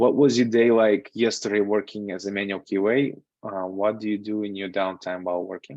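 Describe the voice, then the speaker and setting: Speaking fairly quickly with fairly even intonation, a man with a Russian accent sounds dry with no echo against a quiet background. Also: fairly low pitch for a man. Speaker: software QA tester and instructor. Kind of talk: online lecture with live Q&A. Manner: casual, with frequent fillers. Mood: relaxed, candid. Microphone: video call.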